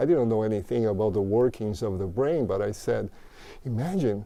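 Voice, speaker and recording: With a Portuguese accent, this man has a dark, mellow tone and ordinary pitch variation. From Brazil. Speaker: mindfulness teacher and author. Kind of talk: interview. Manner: halting.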